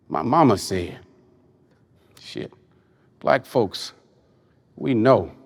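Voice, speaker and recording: A man with vocal fry and lively intonation speaks at a very slow pace, leaving long, frequent pauses. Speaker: poet. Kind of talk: spoken word poetry performance.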